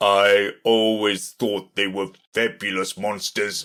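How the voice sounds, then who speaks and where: Heard in a very clean recording against a silent background, a man uses a put-on character voice at a fairly low pitch and a fairly slow pace. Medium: read story. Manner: haughty, offhand.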